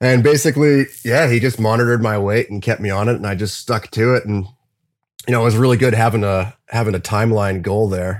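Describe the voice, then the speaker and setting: A man speaks at a fairly quick pace in an ordinary speaking voice, with medium pitch and fairly even intonation. The recording is very clean, with a silent background. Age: 30s. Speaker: metal drummer. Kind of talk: casual chat.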